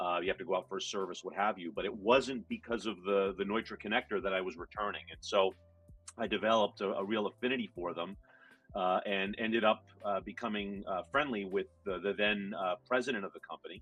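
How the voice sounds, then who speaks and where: A man speaks very fast in a fairly low voice with fairly even intonation, music playing in the background. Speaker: connector company solutions engineer. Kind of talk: interview.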